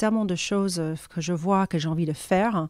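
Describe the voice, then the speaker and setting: A dark, mellow tone at a moderate pace, with ordinary pitch variation, on a very clean recording against a silent background. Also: woman. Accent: slight American. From United States. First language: English (speaking French). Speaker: cosmetics brand founder. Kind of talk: interview. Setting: in a shop.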